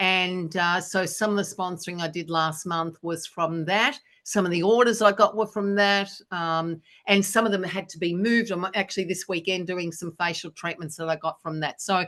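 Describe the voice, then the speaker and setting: A woman with an Australian accent speaks at a moderate pace and a medium pitch. Her intonation is fairly even, and the background is quiet. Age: 60s. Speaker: business speaker. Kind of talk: Q&A talk.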